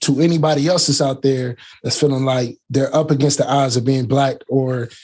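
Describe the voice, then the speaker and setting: At a moderate pace, a man with an American accent speaks in a somewhat breathy voice. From Canton, Ohio, US Midwest. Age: 30s. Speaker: tech YouTuber. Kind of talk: interview.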